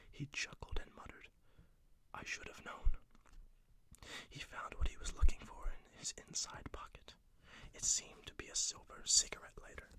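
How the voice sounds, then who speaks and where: A whispering voice moves at a moderate pace. Long pauses come often. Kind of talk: read story. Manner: whispered.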